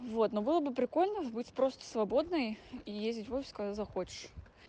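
This woman talks at a moderate pace with ordinary pitch variation. Hers is an unremarkable speaking voice, pitched fairly high. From Urals, Russia (near Yekaterinburg). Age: 20s. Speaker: project manager. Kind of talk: recorded testimony.

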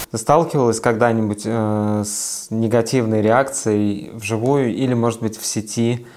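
Speaking at a fairly slow pace with hardly any pauses, a man has an unremarkable speaking voice, medium pitch and fairly even intonation. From Siberia, Russia. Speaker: podcast co-host. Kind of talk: casual chat.

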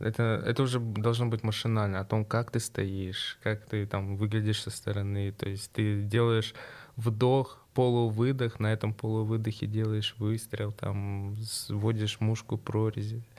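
This man's voice sits fairly low and stays monotone and flat. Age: 20s. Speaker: sport shooter. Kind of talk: interview.

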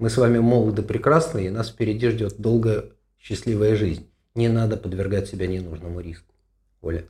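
A somewhat breathy male voice with ordinary pitch variation. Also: fairly low pitch for a man, moderate pace. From Russia, Moscow. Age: 60s. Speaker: running coach and physician. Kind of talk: podcast Q&A.

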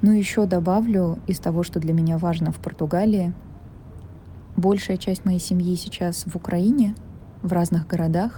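Over noticeable background noise, a woman talks at a moderate pace with medium pitch and fairly even intonation. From Russia, Saint Petersburg. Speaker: film producer. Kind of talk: recorded audio letter.

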